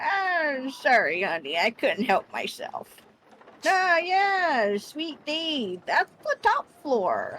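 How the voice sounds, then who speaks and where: This put-on character voice sits at a high pitch. It moves at a very slow pace. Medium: actual play. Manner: grandmotherly, calls people dear and honey.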